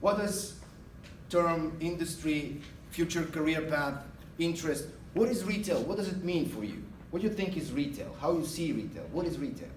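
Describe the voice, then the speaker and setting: With an Eastern European accent, a man speaks at a moderate pace in a high pitch with ordinary pitch variation, and audible room echo surrounds him. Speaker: guest speaker, retail manager. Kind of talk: guest lecture. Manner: hesitant with many uh fillers.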